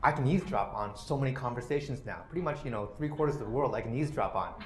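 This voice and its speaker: With a Canadian accent, a man talks at a very fast pace in a fairly high, somewhat breathy voice, with audible room echo. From Canada. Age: 40s. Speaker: policy researcher. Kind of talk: lecture. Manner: many fillers (uh, you know).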